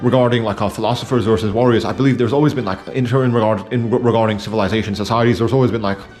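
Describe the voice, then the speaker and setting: The talking is very fast, with hardly any pauses and fairly even intonation. Music plays in the background. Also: man, medium pitch for a man. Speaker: video essayist. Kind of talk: casual monologue. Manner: mumbling; halting, many fillers.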